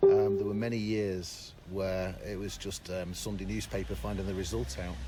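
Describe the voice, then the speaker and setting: A man speaks in a fairly low register, his voice carrying audible echo from the room. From northern England, Merseyside (Southport). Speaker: teacher. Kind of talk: radio interview.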